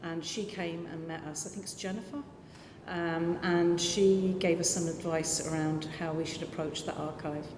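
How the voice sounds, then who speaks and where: There is noticeable background noise and audible room echo as a woman speaks in a fairly low pitch. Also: fairly even intonation, moderate pace. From London. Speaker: community arts organisation director. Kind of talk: panel discussion. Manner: halting.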